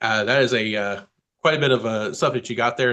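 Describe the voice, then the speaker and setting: Racing at a very fast pace, a man with a medium pitch and a bright, sharp tone shows ordinary pitch variation. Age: 30s. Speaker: podcast host. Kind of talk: casual interview.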